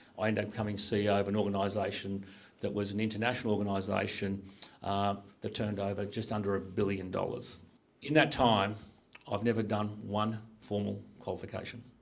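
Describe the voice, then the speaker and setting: A man talks at a very fast pace, yet with long, frequent pauses. Audible room echo surrounds the voice. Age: 60s. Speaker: business executive. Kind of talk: career talk to students. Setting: school panel with audience.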